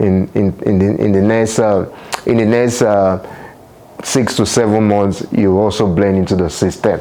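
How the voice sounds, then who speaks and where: With a Nigerian accent, a man talks at a moderate pace in a fairly low pitch, his intonation monotone and flat, his loudness very even, and noticeable background noise behind him. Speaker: international student and vlogger. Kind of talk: vlog talk to camera. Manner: hesitant, repeats words.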